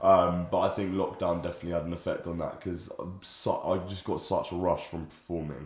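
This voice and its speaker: A man speaks with a London accent. He goes at a fairly quick pace, and audible room echo surrounds his voice. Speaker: musician and student. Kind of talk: casual interview.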